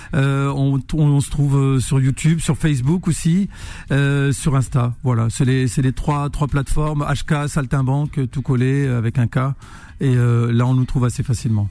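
Dark and mellow in tone, the voice moves at a fairly slow pace with fairly even intonation and very even loudness. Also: man, fairly high pitch for a man. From northern France, Roubaix. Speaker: musician. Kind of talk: radio interview.

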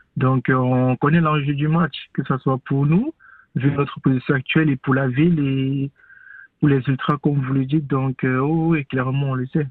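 A man talks with monotone, flat intonation at a fairly high pitch. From Cameroon. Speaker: professional footballer. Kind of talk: radio interview.

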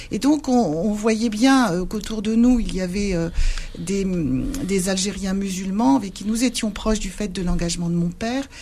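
The speech is fairly slow, with lively intonation. Noticeable background noise runs underneath. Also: woman. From Algeria, Sidi Bel Abbès (pied-noir, Spanish-descended family). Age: 60s. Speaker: retired civil servant and memory-reconciliation activist. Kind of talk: radio interview.

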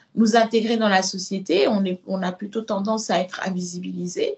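At a fairly slow pace, a woman talks with a somewhat breathy voice. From Senegal. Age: 30s. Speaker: body positive activist and author. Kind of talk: interview testimony. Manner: hesitant with fillers.

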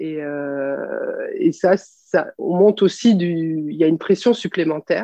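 The pace is very slow. There are hardly any pauses. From France, Clermont-Ferrand. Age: 40s. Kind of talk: interview. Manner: hesitant, many fillers.

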